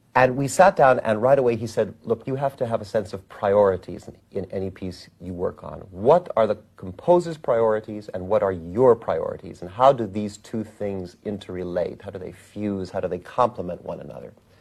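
A normal speaking voice moves at a moderate pace with hardly any pauses. Its loudness swings widely, with ordinary pitch variation. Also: man, fairly low pitch for a man. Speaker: musician. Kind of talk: interview reminiscence.

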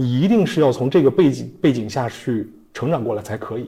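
A man with lively intonation. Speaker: designer turned entrepreneur, executive. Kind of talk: interview answers. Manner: hesitant, many fillers.

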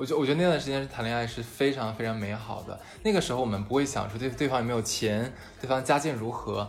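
With audible room echo and noticeable background noise, the man rushes along at a very fast pace. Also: medium pitch for a man, ordinary pitch variation. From Harbin, northeast China. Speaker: podcast host. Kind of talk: casual chat.

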